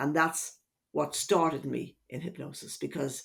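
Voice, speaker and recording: A fairly low-pitched woman's voice with an Irish accent at a moderate pace, in a very clean recording with a silent background. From Ireland, Dublin. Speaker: hypnotherapist. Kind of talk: podcast interview.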